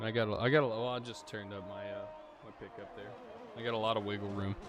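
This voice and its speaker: A man speaks very fast at a medium pitch in a monotone, flat delivery with big swings in loudness. Room echo is audible and background noise is noticeable. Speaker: sim racing league streamer and commentator. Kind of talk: casual chat; live commentary. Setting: live stream.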